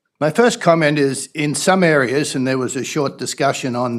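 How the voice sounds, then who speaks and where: On a very clean recording with a silent background, a man talks in a fairly high pitch with ordinary pitch variation. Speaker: resident speaking at council meeting. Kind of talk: public comment at council meeting. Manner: loud.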